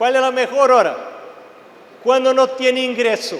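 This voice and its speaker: A Portuguese accent is heard amid noticeable background noise and audible room echo. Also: man. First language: Portuguese (speaking Spanish). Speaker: preacher. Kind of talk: sermon. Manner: animated.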